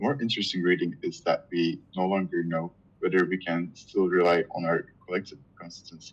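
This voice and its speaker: The speaker talks at a moderate pace with a Turkish accent. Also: man. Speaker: reading group member. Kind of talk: reading aloud. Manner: halting.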